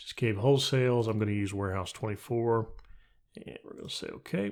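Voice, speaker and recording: Fairly quick speech comes from a man, his pitch varying in an ordinary way. Behind him, all is quiet. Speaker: software tutorial youtuber; software trainer. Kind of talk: tutorial. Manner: fast; casual. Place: home room. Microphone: studio mic.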